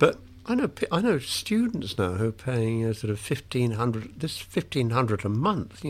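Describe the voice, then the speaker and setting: On a very clean recording with a silent background, a man with a British accent talks at a fairly quick pace and medium pitch, with ordinary pitch variation and hardly any pauses. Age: 70s. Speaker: retired English literature professor and author. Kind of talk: interview about his book. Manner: hesitant, self-correcting.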